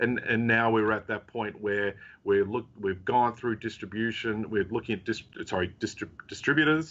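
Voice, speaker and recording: A man in an Australian accent, medium in pitch, with fairly even intonation at a moderate pace. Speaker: technology company CEO. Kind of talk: interview. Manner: halting, many fillers.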